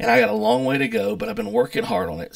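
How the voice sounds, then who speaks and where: A man speaks against a quiet background, his pitch swinging very widely. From US South, North Carolina mountains. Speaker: YouTuber, pastor, chef and distiller. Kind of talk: casual vlog monologue. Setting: home office. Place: home room. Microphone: webcam.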